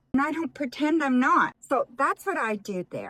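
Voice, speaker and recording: In a very clean recording with a silent background and a dry, close sound with no echo, a woman speaks in a relaxed tone with lively intonation. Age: 60s. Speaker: retired lifestyle and makeup vlogger. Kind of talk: casual makeup tutorial talk to camera. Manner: relaxed, chatty.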